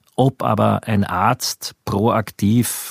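Recorded dry and close with no echo and a silent background on a very clean recording, a man speaks with fairly even intonation. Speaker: journalist. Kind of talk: interview.

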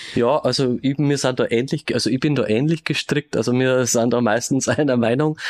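In a dry, close recording with no echo, a man with a plain, everyday voice speaks at a medium pitch and fairly quick pace with fairly even intonation. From Regensburg, Bavaria. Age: 50s. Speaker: police detective. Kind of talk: interview.

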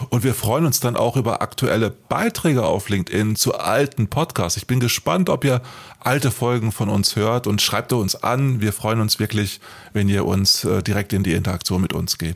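The man talks at a moderate pace in a medium pitch, with ordinary pitch variation. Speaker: podcast co-host, author. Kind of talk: casual chat. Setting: studio.

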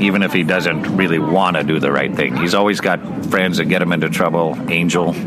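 A man speaks at a moderate pace with a very deep, low pitch. Audible room echo and noticeable background noise are present. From US West Coast, Bakersfield, California. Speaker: university professor. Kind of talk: casual interview.

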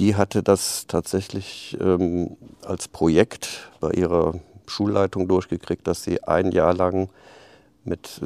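A dark, mellow tone comes through at a very slow pace with fairly even intonation, the sound dry and close with no echo. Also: man. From Rhineland, Aachen. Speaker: head of a club promoting leisure. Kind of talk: interview. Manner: halting, many fillers.

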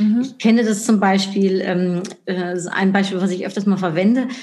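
A woman at a moderate pace with fairly even intonation, amid audible room echo and noticeable background noise. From Netherlands. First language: Dutch (speaking German). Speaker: marketing expert and speaker. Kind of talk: interview.

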